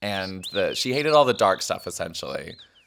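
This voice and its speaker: A man is talking fairly quickly. Background noise can be noticeably heard. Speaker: podcast co-host and stand-up comedian. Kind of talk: casual chat.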